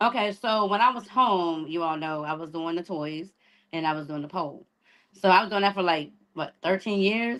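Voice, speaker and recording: With an American accent, a woman talks at a moderate pace, her fairly low pitch showing ordinary pitch variation. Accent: picked-up Florida accent over Maryland roots. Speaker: influencer and pole dance instructor. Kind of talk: casual chat.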